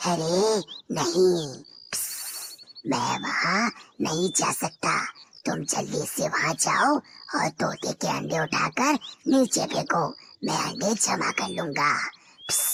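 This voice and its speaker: Raspy and hissing, this cartoonish character voice sits at a middle pitch and moves at a very slow pace. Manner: sly, scheming, punctuated by hisses.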